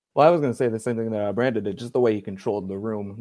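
Against a quiet background, a man's fairly low voice carries a dark, mellow tone and fairly even intonation. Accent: American. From Cleveland, Ohio, US Midwest. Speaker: sports writer and football analyst. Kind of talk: casual podcast chat. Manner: halting, many fillers.

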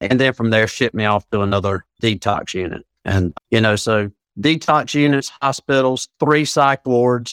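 A man with an American accent speaks at a moderate pace and medium pitch with ordinary pitch variation, a plain, everyday voice in a dry, close sound with no echo. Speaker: addiction recovery coach. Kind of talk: interview conversation.

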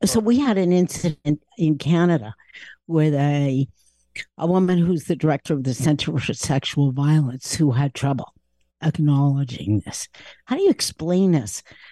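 Her tone is dark and mellow, her pitch very deep and low for a woman. Lively intonation runs through her fairly slow pace. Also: quiet background. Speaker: Middle East analyst and university professor. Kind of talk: expert interview.

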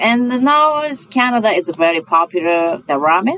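A woman speaks with a Japanese accent, her pitch swinging very widely. Noticeable background noise sits behind her. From Japan, Sapporo. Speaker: chef. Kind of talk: casual chat. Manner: halting.

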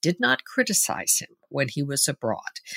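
A woman's bright, sharp voice with vocal fry and very wide pitch swings, dry and close with no echo, on a very clean recording over a silent background. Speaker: political commentator. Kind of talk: political roundtable discussion.

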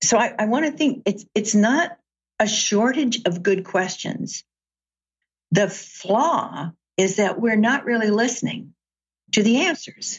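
A woman with an American accent speaks at a fairly high pitch, somewhat breathy, with lively intonation and very even loudness. Her pace is fairly slow, broken by long, frequent pauses. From US South, Chattanooga, Tennessee. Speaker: author and executive coach. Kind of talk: interview conversation.

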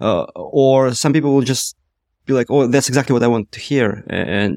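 At a fairly quick pace, a man speaks with a Russian accent. His pitch is medium and his intonation fairly even. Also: dry, close sound with no echo. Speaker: startup co-founder, former product manager. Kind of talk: casual interview conversation.

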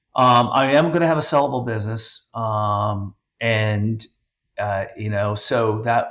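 A somewhat breathy man's voice at a medium pitch with ordinary pitch variation. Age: 50s. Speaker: podcast host and business owner. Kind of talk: casual interview conversation.

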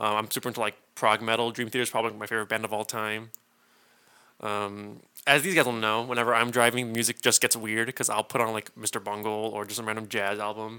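A man's very fast, monotone delivery with flat intonation, medium pitch and a bright, sharp tone, with an American accent, in a very clean recording over a silent background. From California. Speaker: guitarist. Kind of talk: casual chat. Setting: studio.

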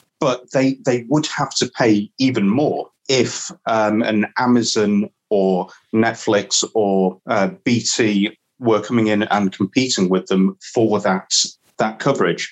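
A man's fairly low voice at a very slow pace, with ordinary pitch variation and very even loudness. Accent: northern English. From northern England. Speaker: cricket pundit. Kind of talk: casual chat.

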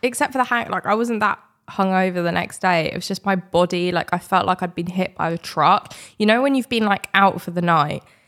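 In a very clean recording with a silent background and a dry, close sound with no echo, a woman with a British accent speaks at a fairly quick pace, medium in pitch, with ordinary pitch variation. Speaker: podcast co-host. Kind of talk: casual chat.

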